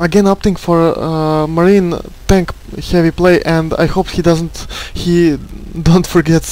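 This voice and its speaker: At a fairly slow pace, a man speaks in a high pitch with monotone, flat intonation over noticeable background noise. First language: not English. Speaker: esports caster. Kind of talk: live game commentary. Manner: halting, many fillers and repetitions.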